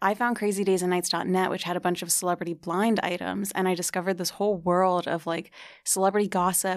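A woman with an American accent, fairly quick and monotone in flat intonation, on a very clean recording with a silent background. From New Jersey. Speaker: blogger and podcaster on celebrity gossip. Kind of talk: casual chat.

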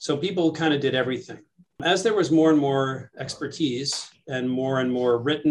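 This man has an ordinary speaking voice, an American accent, medium pitch and ordinary pitch variation. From New York City. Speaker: surgeon and professor. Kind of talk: interview.

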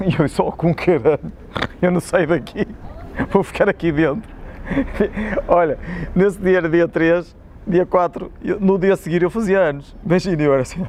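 Over noticeable background noise, a man speaks at a moderate pace in a high voice with ordinary pitch variation. He leaves long, frequent pauses. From Portugal, Espinho. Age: 40s. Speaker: football club physio and former player. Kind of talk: casual interview chat. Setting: outdoors by old stadium ticket office.

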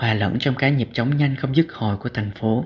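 A man's somewhat breathy voice at a medium pitch, with ordinary pitch variation and a fairly quick pace. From southern Vietnam, Cà Mau. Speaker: podcast host, student blogger. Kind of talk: reading aloud own essay.

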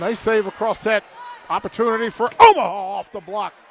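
Against noticeable background noise, a man with a high voice talks at a fairly quick pace. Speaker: radio play-by-play announcer. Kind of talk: live sports commentary, play-by-play. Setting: courtside in the arena, crowd present. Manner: enthusiastic, hype-builder.

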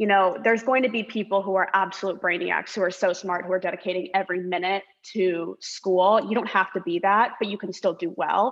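In a plain, everyday voice, a woman with an American accent speaks at medium pitch and a fairly quick pace with fairly even intonation. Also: hardly any pauses. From Orange County, California. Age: 20s. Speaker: law student. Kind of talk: casual chat.

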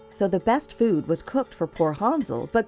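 A woman's medium-pitched voice in a dramatic tone with lively intonation, music in the background. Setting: audio theater production. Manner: dramatic storyteller, shifting into gruff old-witch and pleading child voices.

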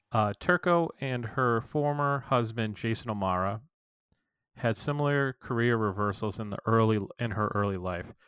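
In a very clean recording with a silent background, a man with a Boston accent speaks with a bright, sharp tone, a fairly low pitch and ordinary pitch variation. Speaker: podcast co-host. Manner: casual, chatty.

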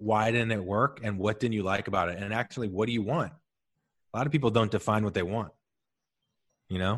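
A man with an American accent and an unremarkable speaking voice talks in a fairly low pitch with fairly even intonation over a quiet background. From US Midwest, St. Louis. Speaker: marketing expert and podcast host. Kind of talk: casual chat.

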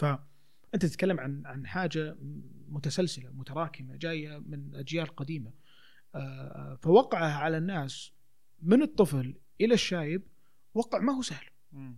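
On a very clean recording with a silent background, a man with a fairly high pitch and a somewhat breathy voice speaks at a fairly slow pace, with ordinary pitch variation and big swings in loudness. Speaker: theatre actor and children's theatre promoter. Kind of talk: casual chat.

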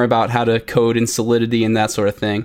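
A man with a plain, everyday voice speaks at a fairly quick pace and a medium pitch. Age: 20s. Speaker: crypto coin creator and software engineer. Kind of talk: podcast interview.

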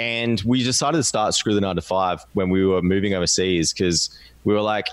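A man speaks with an Australian accent at a moderate pace. His pitch is fairly low and varies in an ordinary way. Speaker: podcast guest, online business co-founder. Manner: casual, conversational.

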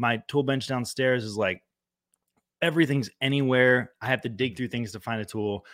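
A man with a normal speaking voice and a medium pitch talks at a moderate pace with ordinary pitch variation, recorded very cleanly against a silent background. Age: 30s. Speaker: activist and musician. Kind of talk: casual chat.

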